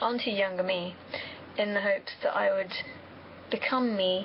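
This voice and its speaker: A woman speaks in a West Country accent at medium pitch. Her intonation is monotone and flat, with noticeable background noise. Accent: faint West Country. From England, Somerset (West Country). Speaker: vlogger answering viewer questions. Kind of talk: casual monologue.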